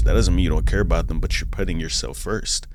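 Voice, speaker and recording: Vocal fry comes through in a very clean recording with a silent background. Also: man. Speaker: reaction YouTuber. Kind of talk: casual reaction commentary. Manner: stutters.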